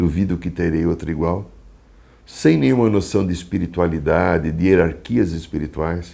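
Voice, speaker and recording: A man speaks with a very deep, low pitch and a dark, mellow tone. His pace is moderate and his intonation fairly even. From Brazil, São Paulo city. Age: 60s. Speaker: psychologist and shaman. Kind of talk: testimony. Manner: halting.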